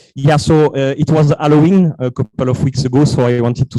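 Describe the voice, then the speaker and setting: With a French accent, a man speaks fairly quickly in a dark, mellow tone and fairly even intonation, the sound dry and close with no echo. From France. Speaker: startup co-founder. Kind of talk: pitch presentation.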